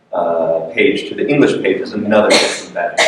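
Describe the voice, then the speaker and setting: Audible room echo and clear background noise around a man's speech. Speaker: literature professor. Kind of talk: lecture. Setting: lecture room with audience. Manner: loud; hesitant, many fillers.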